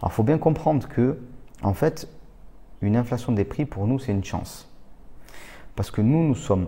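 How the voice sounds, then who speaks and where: On a very clean recording with a silent background, a man talks at a fairly quick pace in a somewhat breathy voice with a dark, mellow tone and ordinary pitch variation. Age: 30s. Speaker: real estate investor and trainer. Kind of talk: educational monologue. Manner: casual, with fillers.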